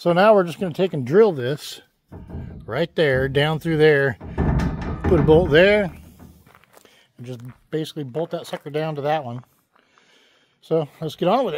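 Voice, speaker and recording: With music in the background, a man speaks with long, frequent pauses and big swings in loudness, in a dry sound with no echo. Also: ordinary pitch variation, moderate pace. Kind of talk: tutorial. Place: open country. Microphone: phone near.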